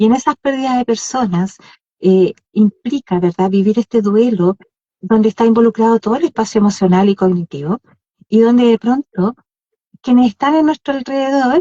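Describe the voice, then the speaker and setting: A woman's somewhat breathy, fairly high voice at a moderate pace, with very even loudness and ordinary pitch variation. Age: 60s. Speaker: podcast co-host. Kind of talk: casual chat. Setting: live Instagram stream.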